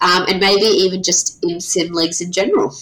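With noticeable background noise behind her, a woman speaks in an Australian accent with lively intonation. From South Australia. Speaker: podcast host. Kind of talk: casual chat.

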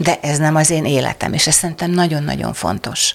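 Over noticeable background noise, a woman talks at a very deep, low pitch with fairly even intonation. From southern Hungary, Szeged area. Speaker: writer and screenwriter. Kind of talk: interview conversation.

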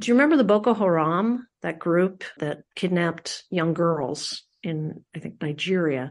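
A woman with an American accent and an ordinary speaking voice talks at a fairly slow pace with hardly any pauses, fairly low pitch and lively intonation against a quiet background. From Philadelphia, US. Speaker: public radio host. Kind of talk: interview.

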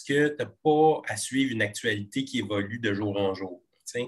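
A man's voice sits at a medium pitch, moving at a moderate pace with ordinary pitch variation. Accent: Quebec. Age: 40s. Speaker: TV comedy screenwriter. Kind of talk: interview conversation.

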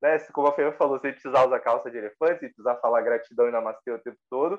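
A man's plain, everyday voice, fairly high in pitch, with lively intonation. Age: 30s. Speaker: meditation teacher. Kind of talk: casual chat.

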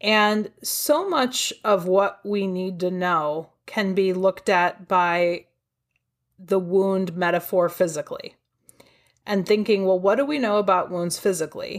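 On a very clean recording with a silent background, a woman with a Midwestern US accent speaks fairly slowly at a medium pitch with ordinary pitch variation. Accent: US Midwest. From Ohio, US. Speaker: trauma therapist and author. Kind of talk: interview.

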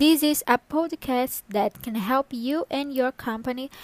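A woman with a high pitch speaks at a fairly slow pace with ordinary pitch variation, her voice dry and close with no echo. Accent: Brazilian Portuguese. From northern Brazil (Pará). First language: Portuguese. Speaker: executive assistant. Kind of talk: scripted podcast monologue.

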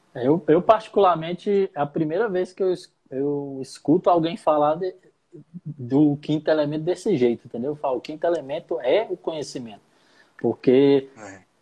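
In an unremarkable speaking voice, a man with fairly high pitch talks at a moderate pace with ordinary pitch variation. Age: 30s. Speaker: podcast host and rapper. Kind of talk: interview.

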